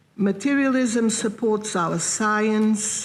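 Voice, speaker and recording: A woman with a non-native accent at a very slow pace, amid audible room echo. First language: not English. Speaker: philosopher. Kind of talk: lecture reading. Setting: conference hall with audience. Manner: formal.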